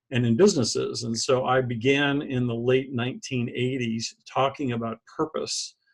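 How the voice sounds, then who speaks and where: With an unremarkable speaking voice, a man talks at a moderate pace in a medium pitch with fairly even intonation. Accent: American. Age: 60s. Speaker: author and business leadership consultant. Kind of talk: interview. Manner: casual, with frequent fillers and restarts.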